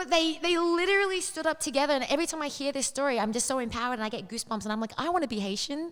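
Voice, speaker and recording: Talking very fast with lively intonation, a woman with an Australian accent speaks in a high pitch. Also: hardly any pauses. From Australia, Sydney. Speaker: fitness coach. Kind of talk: interview conversation.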